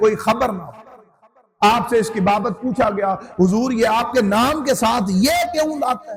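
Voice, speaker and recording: A man speaks at an extremely high pitch, his voice swinging very widely up and down. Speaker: Islamic scholar giving a sermon. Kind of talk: Islamic sermon (bayan) delivered to an audience.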